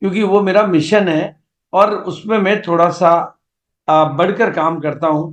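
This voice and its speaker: A high-pitched male voice with fairly even intonation. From India, rural village. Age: 70s. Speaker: network marketing business leader. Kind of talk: motivational seminar talk. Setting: video call. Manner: halting, with fillers.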